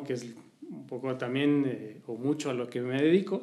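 A man with a Mexico City accent, fairly high in pitch, at a fairly slow pace with fairly even intonation and audible room echo. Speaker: social listening agency executive. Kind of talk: interview. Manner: hesitant, many fillers.

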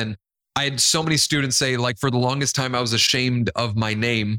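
An animated tone comes through at a moderate pace in a dry, close sound with no echo and a very clean recording with a silent background. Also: man. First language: Spanish. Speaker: motivational speaker and DJ. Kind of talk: interview.

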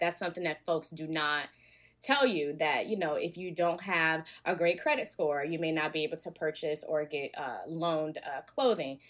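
A woman speaks at a moderate pace, her pitch fairly low. It is a normal speaking voice. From US South, Alabama. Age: young. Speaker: nonprofit founder and stylist. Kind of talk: interview.

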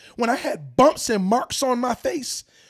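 A man with an extremely high pitch is heard in a dry, close sound with no echo. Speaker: podcast co-host. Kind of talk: casual chat.

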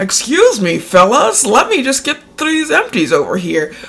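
High-pitched put-on character voice at moderate speed. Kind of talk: casual, polite.

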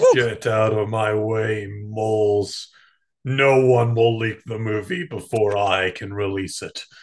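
Against a quiet background, a man at medium pitch talks at a fairly slow pace with fairly even intonation. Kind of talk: improvised comic movie dub. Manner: grandiose, domineering.

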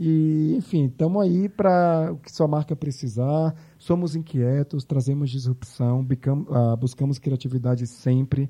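Recorded dry and close with no echo against a quiet background, a man with a fairly high pitch, a dark, mellow tone and a somewhat breathy quality speaks fairly slowly, with ordinary pitch variation and big swings in loudness. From Bahia, Brazil (Salvador). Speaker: marketing agency executive. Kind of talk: interview.

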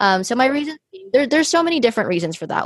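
With an American accent, a woman speaks in an animated tone with very wide pitch swings, in a dry, close sound with no echo. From US. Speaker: podcast host. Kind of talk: casual chat.

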